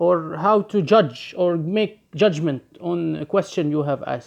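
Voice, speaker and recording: Speaking at a very slow pace with an Arabic accent, the voice comes over a quiet background. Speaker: occult practitioner and video teacher. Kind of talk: tutorial. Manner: halting, searching for words.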